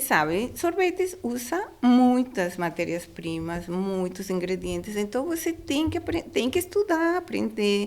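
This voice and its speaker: A woman with a Spanish accent at a fairly slow pace, hardly any pauses, and noticeable background noise. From Panama. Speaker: food industry regulatory professional. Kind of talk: interview. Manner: halting.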